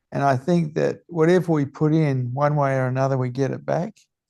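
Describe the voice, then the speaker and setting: Against a quiet background, a man speaks in a fairly high pitch with ordinary pitch variation. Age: 70s. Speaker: spiritual teacher. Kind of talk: interview. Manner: blunt.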